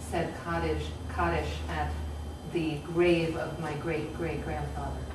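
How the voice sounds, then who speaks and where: A woman's voice with loud background noise and audible room echo. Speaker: novelist and memoirist. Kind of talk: panel discussion. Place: hall. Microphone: camera far.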